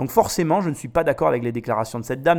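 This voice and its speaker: Recorded very cleanly against a silent background, a man speaks in an animated tone with lively intonation. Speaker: business podcaster. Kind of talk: commentary monologue.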